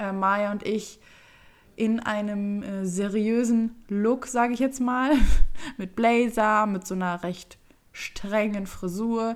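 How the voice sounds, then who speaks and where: A woman speaks at a very slow pace in a fairly high pitch, with fairly even intonation. Long pauses come often. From Germany, Düsseldorf. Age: 20s. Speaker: YouTuber and podcast co-host. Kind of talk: casual chat.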